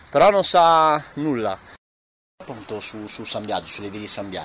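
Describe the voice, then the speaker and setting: This is a man talking at a moderate speed. Pitch moves in an ordinary way. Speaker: web radio host. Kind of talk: radio talk show, conversational. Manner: hesitant, filler-heavy.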